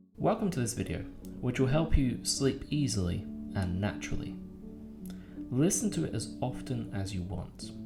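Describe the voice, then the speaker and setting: A man's fairly low voice at a moderate pace, with very wide pitch swings and music in the background. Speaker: hypnotist. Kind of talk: spoken introduction and safety notice.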